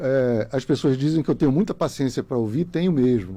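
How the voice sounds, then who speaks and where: A man talks at a fairly quick pace in a fairly high-pitched voice with a dark, mellow tone. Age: 60s. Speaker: lawyer, former bar association president. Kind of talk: podcast interview. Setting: radio studio.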